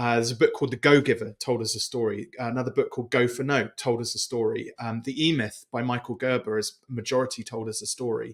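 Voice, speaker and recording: A man speaks at a very fast pace with a British accent, hardly any pauses and fairly even intonation. His pitch is medium. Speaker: business coach and author. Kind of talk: interview. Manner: halting.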